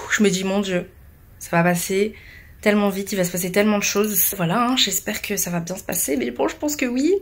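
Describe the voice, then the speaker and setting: Over noticeable background noise, a woman speaks in an animated tone at a medium pitch and fairly quick pace, with lively intonation. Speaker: vlogger and bride. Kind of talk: casual vlog.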